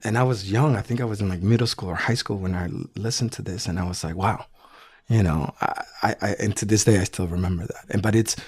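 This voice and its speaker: A man with a Spanish accent and a fairly low, somewhat breathy voice talks at a very fast pace on a very clean recording with a silent background. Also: ordinary pitch variation. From El Salvador. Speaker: business executive. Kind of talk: interview.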